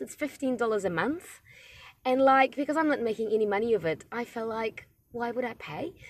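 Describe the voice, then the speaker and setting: On a very clean recording with a silent background, the talking unfolds at a moderate pace. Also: woman. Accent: non-native. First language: not English. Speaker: podcaster, university student centre manager. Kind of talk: casual monologue. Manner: hesitant, many fillers.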